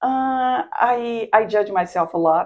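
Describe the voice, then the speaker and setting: Someone with a non-native accent speaks against a quiet background. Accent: noticeable foreign. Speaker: immigrant interviewee. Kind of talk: interview.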